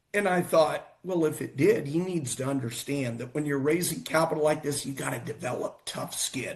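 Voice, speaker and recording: A man's somewhat breathy voice, fairly high in pitch, with ordinary pitch variation and hardly any pauses. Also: moderate pace. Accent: American. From United States. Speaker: futurist and investment fund manager. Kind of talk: casual show conversation.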